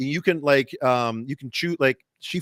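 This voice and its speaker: Recorded very cleanly with a silent background and a dry, close sound with no echo, a man speaks with fairly even intonation. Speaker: podcast host. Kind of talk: casual chat. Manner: fast, stumbling.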